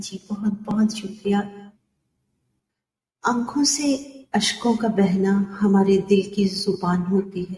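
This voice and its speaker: A woman's somewhat breathy voice at medium pitch carries a dark, mellow tone and fairly even intonation. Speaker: poet and voice artist. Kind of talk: poetry reading. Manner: expressive.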